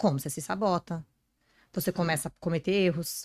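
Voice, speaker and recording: Bright, sharp tone from a woman, in a dry, close sound with no echo. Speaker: podcast guest, personal image and career speaker. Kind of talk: podcast interview. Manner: fast.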